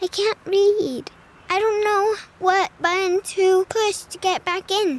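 A female-sounding voice speaks quietly at a fairly slow pace in an extremely high pitch. It is a shaky, put-on character voice.

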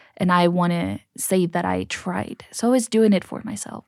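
On a very clean recording with a silent background, a woman of medium pitch has a dark, mellow tone in a dry, close sound with no echo. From Mexico, Cancun. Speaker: guest, church youth leader. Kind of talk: interview testimony. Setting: studio.

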